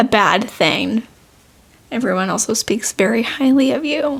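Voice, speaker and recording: The voice is quiet, with ordinary pitch variation. Its pace is fairly slow. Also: woman. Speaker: podcast co-host. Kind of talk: casual chat.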